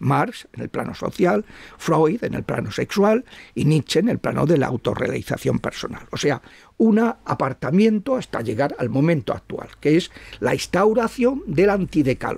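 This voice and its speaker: A man talks in a high voice at a moderate pace. His pitch swings very widely. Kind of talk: interview on religious topics. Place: home room. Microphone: studio mic.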